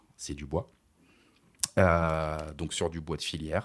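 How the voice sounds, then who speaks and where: The speaker is a man with a very deep, low pitch. He goes at a fairly slow pace. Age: 30s. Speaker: entrepreneur, company director. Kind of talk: interview. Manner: hesitant, many fillers.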